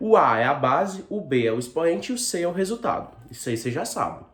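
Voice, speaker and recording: A man's voice with very wide pitch swings against noticeable background noise. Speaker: school math teacher. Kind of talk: video lesson.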